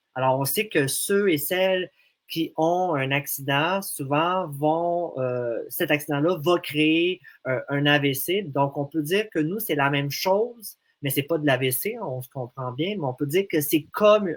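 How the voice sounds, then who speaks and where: A man talks with ordinary pitch variation around a fairly high pitch. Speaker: association representative with a language disorder. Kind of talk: radio interview. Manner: halting, many hesitations.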